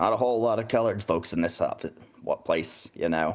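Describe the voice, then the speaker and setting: Put-on character voice from a man, raspy, medium-pitched and at a fairly quick pace. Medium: actual play. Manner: sardonic, teasing.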